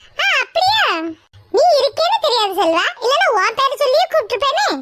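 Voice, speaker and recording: Putting on a squeaky cartoonish character voice, a woman speaks at an extremely high pitch with lively intonation, very even loudness and a moderate pace. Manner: chatty, familiar.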